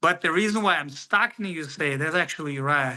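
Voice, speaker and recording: A man with a Russian accent speaks fairly quickly in a fairly high pitch and bright, sharp tone, the background quiet. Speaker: professional MMA fighter. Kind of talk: interview. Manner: halting.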